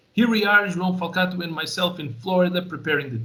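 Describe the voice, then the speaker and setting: Room echo can be heard. It comes off a man's voice. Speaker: live fish transport specialist. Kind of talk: webinar presentation. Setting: webinar. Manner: fast.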